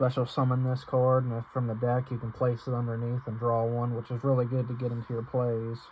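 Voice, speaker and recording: A man speaks fairly quickly at a medium pitch, with hardly any pauses. His intonation is monotone and flat, and he sounds somewhat breathy. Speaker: card game youtuber. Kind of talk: deck profile tutorial. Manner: stuttering, halting; fast, rushed.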